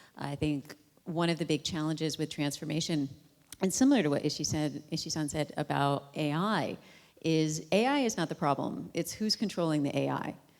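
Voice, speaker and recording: A woman with an American accent, a very deep, low pitch, a moderate pace, and a very clean recording with a silent background. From United States. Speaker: panel speaker, business consultant. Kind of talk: panel discussion. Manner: loud.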